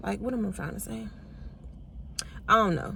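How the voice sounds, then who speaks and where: A woman with a medium pitch and a somewhat breathy voice talks at a very fast pace, with audible room echo around her. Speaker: vlogger. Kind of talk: personal vlog, emotional confession. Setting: in a car. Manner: rambling, halting.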